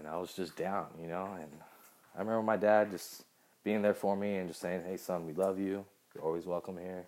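A man with an American accent speaks at a fairly quick pace in a very deep, low voice, his intonation monotone and flat while his loudness swings widely. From Southern California. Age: 30s. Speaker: podcast host, musician. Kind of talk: personal storytelling monologue. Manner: casual, many fillers.

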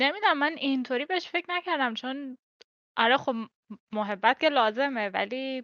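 A bright, sharp tone defines the voice. There is no echo, and the sound is dry and close. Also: woman, high pitch for a woman, lively intonation, moderate pace. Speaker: podcast guest. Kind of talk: casual chat.

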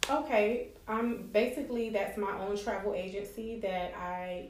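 A woman with an American accent talks at a moderate pace and medium pitch, her intonation fairly even, with audible room echo. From Miami, Florida. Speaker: travel agent and entrepreneur. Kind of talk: interview.

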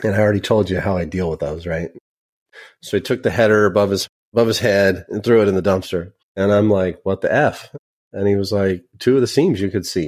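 A man with an American accent speaks in a fairly low voice at a fairly quick pace. It's an unremarkable speaking voice with ordinary pitch variation. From Northern California, Sacramento suburb. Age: 40s. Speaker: software company account manager, former machinist. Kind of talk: casual interview chat. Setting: video call.

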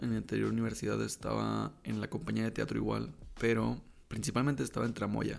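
With a Mexican accent, a man talks at a very fast pace. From Mexico, Baja California Sur (La Paz). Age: 20s. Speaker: podcaster, student. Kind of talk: casual personal monologue. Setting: home desk recording.

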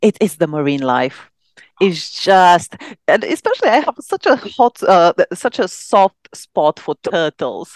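A woman with a Romanian accent speaks at a fairly slow pace with very wide pitch swings. The sound is dry and close, with no echo. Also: medium pitch for a woman. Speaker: psychiatrist and actress. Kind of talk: casual interview.

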